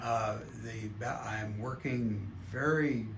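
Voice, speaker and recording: A man speaks with ordinary pitch variation. There is audible echo from the room. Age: 70s. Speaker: patient. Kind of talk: testimony.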